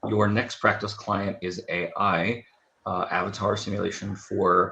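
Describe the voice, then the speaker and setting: Over music in the background, a man speaks in a fairly low pitch. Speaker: university department chair, therapy educator. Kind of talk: conference presentation. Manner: hesitant, many fillers.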